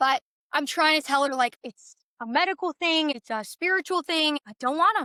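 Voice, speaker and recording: Raising and projecting her voice, a woman speaks at a high pitch and moderate pace, with an animated, bright, sharp tone and lively intonation in a dry, close sound with no echo. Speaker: birth story guest on podcast. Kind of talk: casual chat, personal testimony. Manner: animated storytelling; halting, self-correcting.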